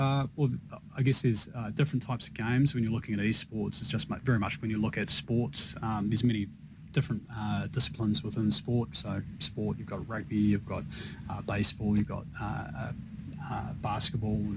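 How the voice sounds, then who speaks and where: A man with a New Zealand accent speaks at a moderate pace with a fairly low pitch, vocal fry and ordinary pitch variation. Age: 40s. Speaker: esports business executive. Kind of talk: radio interview. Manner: halting.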